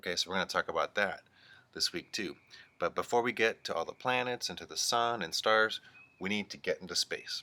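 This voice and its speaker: A fairly quick male voice, dry and close with no echo. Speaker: teacher. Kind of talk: remote lesson for young children.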